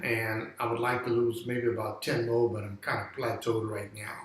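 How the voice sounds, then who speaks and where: Noticeable background noise sits behind a man talking at medium pitch. His intonation is monotone and flat, and his pace moderate. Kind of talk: interview answer. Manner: hesitant, conversational.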